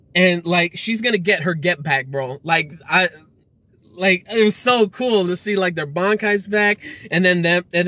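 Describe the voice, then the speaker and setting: The man's bright, sharp voice comes at a moderate pace, with a dry sound and no echo. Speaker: anime reviewer. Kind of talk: casual vlog chat. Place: car. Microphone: phone near.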